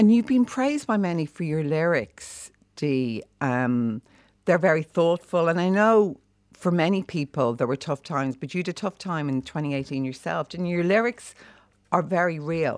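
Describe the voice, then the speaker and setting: With an Irish accent and lively intonation, a woman talks at a moderate pace in a fairly low pitch, the sound dry and close with no echo on a very clean recording with a silent background. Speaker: morning TV or radio host. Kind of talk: casual chat interview. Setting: studio.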